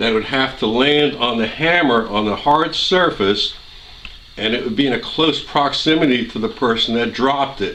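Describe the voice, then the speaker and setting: At a fairly slow pace, a man with a medium pitch and ordinary pitch variation speaks amid audible room echo and noticeable background noise. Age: 60s. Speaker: gun owner doing a residue test. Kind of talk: tutorial.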